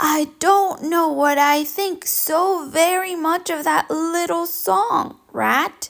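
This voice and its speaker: In a put-on character voice, a woman speaks at a very slow pace with extremely high pitch and hardly any pauses. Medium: read story. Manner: mild, agreeable.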